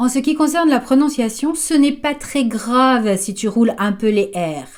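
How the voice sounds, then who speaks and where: Speaking with a slight French accent, a woman uses a high pitch, lively intonation and a dark, mellow tone. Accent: slight French accent when speaking English. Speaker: English teacher for children. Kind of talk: tutorial. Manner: clear, didactic.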